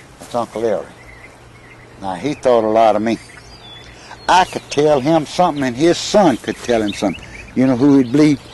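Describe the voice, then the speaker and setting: Lively intonation from a man with a Mississippi accent at medium pitch, with long, frequent pauses and noticeable background noise. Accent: Mississippi Southern drawl. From US South, Newton County, Mississippi. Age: 80s+. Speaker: elderly father recounting family history. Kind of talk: casual chat. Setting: outdoors.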